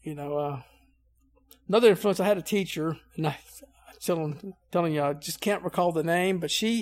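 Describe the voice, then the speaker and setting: With a Southern US accent, a man speaks at a high pitch and moderate pace. He takes long, frequent pauses and uses ordinary pitch variation. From Louisiana. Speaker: Navy veteran and utility worker. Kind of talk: casual interview.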